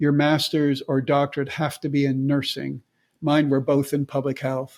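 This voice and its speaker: This man talks with a fairly high pitch. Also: very clean recording, silent background. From Canada. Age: 70s. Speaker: nurse and nursing professor. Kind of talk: interview.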